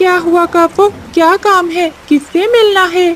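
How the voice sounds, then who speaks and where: At a fairly slow pace, a cartoonish character voice talks with an extremely high pitch. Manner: blunt, brusque.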